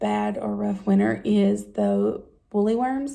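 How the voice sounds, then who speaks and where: A woman is speaking. She talks with an Appalachian accent. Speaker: vlogger. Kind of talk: casual talk to camera. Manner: hesitant, many fillers.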